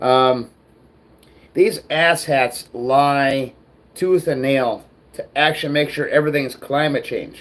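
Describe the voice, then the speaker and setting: Speaking with an American accent, a man with a fairly high pitch moves at a fairly slow pace, broken by long, frequent pauses. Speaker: livestream ranter. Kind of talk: casual livestream rant.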